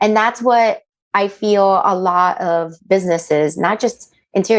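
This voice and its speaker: A woman in a Spanish accent, medium pitch, ordinary pitch variation. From Miami, Florida, Colombian-Panamanian family. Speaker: interior designer, business owner. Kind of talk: podcast interview. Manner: animated.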